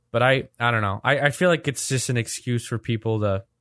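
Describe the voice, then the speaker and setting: At a moderate pace, a man speaks in an ordinary speaking voice with ordinary pitch variation, in a very clean recording that is dry and close with no echo against a silent background. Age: young. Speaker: podcast host. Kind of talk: casual chat.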